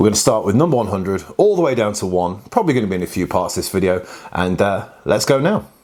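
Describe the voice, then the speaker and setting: Over noticeable background noise, a man with a fairly low pitch speaks at a fairly quick pace, his pitch swinging very widely. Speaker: board game youtuber. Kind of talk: casual talk to camera. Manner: hesitant, many fillers.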